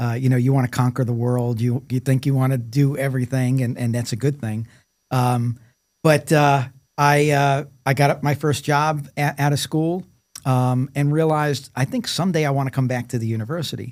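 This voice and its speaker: With an American accent, a man speaks at medium pitch and a moderate pace, using fairly even intonation in an ordinary speaking voice. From New York City (Brooklyn). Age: 60s. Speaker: engineering professor, former corporate executive. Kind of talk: podcast interview.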